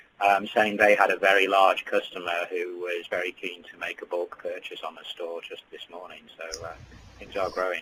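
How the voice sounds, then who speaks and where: Big swings in loudness mark a man speaking at a moderate pace with a British accent. Noticeable background noise is present. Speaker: developer technical services head. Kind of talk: webinar presentation.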